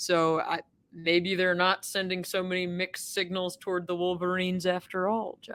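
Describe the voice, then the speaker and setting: A woman in a flat monotone at a moderate pace. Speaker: sports journalist and podcast co-host. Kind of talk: casual podcast chat. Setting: press box coaches booth.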